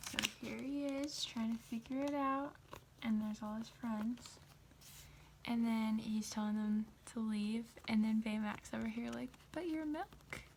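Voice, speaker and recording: Soft-spoken and somewhat breathy, a woman talks at a fairly slow pace, her fairly high voice keeping a fairly even intonation. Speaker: ASMR content creator. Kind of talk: casual chatty commentary to the audience.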